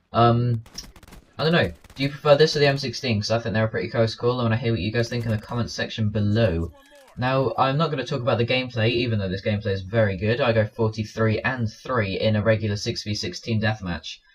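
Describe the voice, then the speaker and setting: A man with an English accent and a medium-pitched voice, talking at a very fast pace over noticeable background noise. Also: ordinary pitch variation. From England. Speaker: gaming commentator. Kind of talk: gameplay commentary.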